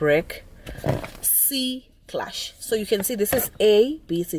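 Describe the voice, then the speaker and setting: Very slow speech from a woman over noticeable background noise. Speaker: driving instructor vlogger. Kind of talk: tutorial. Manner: halting.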